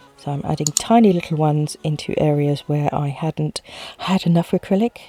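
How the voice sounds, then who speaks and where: Over music in the background, a woman speaks at a very deep, low pitch, the sound dry and close with no echo. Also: ordinary pitch variation. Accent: British. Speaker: nail art tutorial youtuber. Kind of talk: tutorial voiceover. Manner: fast.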